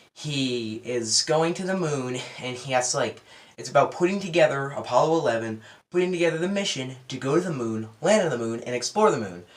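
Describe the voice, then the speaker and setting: A quiet man speaks at a medium pitch and a fairly quick pace with lively intonation. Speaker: movie reviewer. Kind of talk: casual film review. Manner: quiet, low-key.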